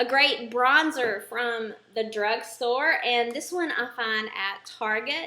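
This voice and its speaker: A high-pitched woman's voice with an American accent, fairly slow pace and ordinary pitch variation. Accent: thick at times southern US. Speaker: beauty vlogger. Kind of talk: makeup product review tutorial. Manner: casual with frequent filler ums. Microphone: poor sound quality.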